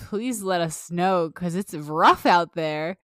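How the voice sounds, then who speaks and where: A woman with a fairly low pitch speaks at a moderate pace in an ordinary speaking voice. The recording is very clean, with a silent background. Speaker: podcast co-host. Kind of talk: casual chat.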